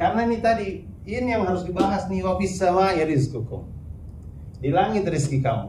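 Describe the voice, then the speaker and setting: A high-pitched man speaks with lively intonation. Noticeable background noise and audible room echo surround him. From South Sulawesi, Bugis. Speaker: Islamic preacher and speaker. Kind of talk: religious talk with Q&A.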